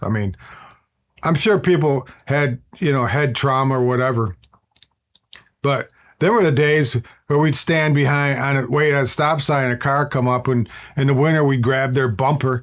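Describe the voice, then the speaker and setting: A man with an American accent talks in a plain, everyday voice, fairly high in pitch, with ordinary pitch variation and very even loudness. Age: 60s. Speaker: YouTube lifestyle host. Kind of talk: casual nostalgic talk to camera. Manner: rambling, conversational.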